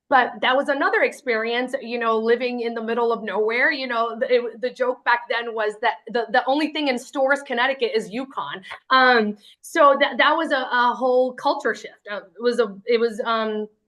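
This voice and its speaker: A woman in a Spanish accent, high-pitched with a bright, sharp tone, moderate pace, fairly even intonation and hardly any pauses. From Lynn, Massachusetts. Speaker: award honoree, city equity official. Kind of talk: acceptance speech. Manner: hesitant, many fillers.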